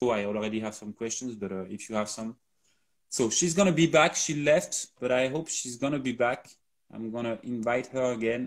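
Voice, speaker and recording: A man with a French accent speaks at a moderate pace in a medium pitch with ordinary pitch variation. The recording is very clean, with a silent background. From France. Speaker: company co-founder hosting a live Q&A. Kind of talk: live stream Q&A.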